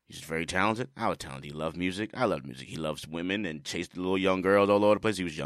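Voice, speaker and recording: Very deep and low in pitch, a man with a Bronx accent speaks at a very fast pace with hardly any pauses and ordinary pitch variation on a very clean recording with a silent background. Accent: New York, Bronx. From New York City, the Bronx. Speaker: music producer and drummer. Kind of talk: casual interview. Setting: studio. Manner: animated, passionate.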